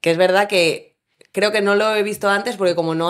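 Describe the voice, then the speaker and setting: A woman speaks in an ordinary speaking voice at a moderate pace. Her pitch variation is ordinary. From Spain, Valencia. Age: 30s. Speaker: firefighter. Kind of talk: interview.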